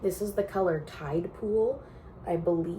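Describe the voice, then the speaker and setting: A woman with a Canadian accent and a fairly low pitch is heard with audible room echo and noticeable background noise. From Canada, central Alberta. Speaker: knitting podcaster. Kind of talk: casual chat.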